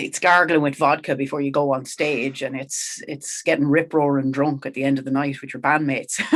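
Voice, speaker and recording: With a Kildare Irish accent, a woman whose pitch is very deep and low talks at a fairly quick pace with hardly any pauses. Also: big swings in loudness. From Ireland, County Kildare (Sallins). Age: 40s. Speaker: country rock singer. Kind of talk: podcast interview, casual chat. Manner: animated, conversational.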